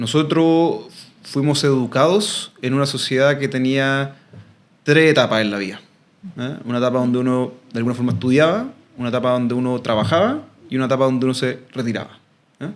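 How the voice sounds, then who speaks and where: Ordinary variation marks the pitch. The speech moves fairly quickly. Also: man, medium pitch for a man. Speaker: expert on ageing and silver economy. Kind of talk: interview conversation. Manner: hesitant, many fillers and repetitions.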